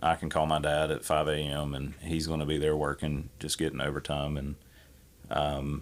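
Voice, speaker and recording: Over a silent background in a very clean recording, a man speaks at a moderate pace with a very deep, low pitch and vocal fry. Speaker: podcast guest. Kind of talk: casual chat.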